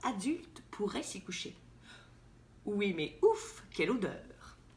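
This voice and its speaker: Her voice is fairly high, with vocal fry and very wide pitch swings. The woman speaks at a very slow pace. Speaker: actress. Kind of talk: children's picture book reading.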